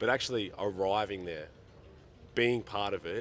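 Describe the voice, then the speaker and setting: A man with an Australian accent. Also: very clean recording, silent background. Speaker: sports interviewer. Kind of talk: interview. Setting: at a sports event.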